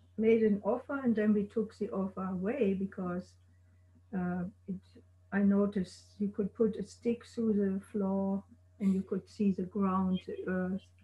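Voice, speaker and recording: A woman speaks at a medium pitch with a somewhat breathy voice. Her intonation is flat and monotone. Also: long, frequent pauses. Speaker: guest's wife and life partner; guest. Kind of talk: oral history interview. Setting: video call. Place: home room. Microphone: video call.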